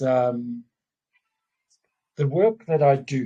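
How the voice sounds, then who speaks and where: Very slow and somewhat breathy, a man talks in a dark, mellow tone. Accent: South African. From South Africa. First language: Afrikaans. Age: 50s. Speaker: businessman. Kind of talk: casual chat. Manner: halting.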